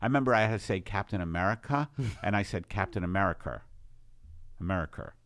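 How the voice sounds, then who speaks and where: Speaking with a New York accent, a man talks very fast in a fairly low pitch with ordinary pitch variation. He leaves long, frequent pauses. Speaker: podcast host.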